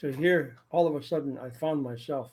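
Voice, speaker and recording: The voice is somewhat breathy. Its intonation stays fairly even. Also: man. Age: 70s. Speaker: storyteller. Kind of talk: personal storytelling. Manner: halting, repetitive. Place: home room. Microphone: webcam.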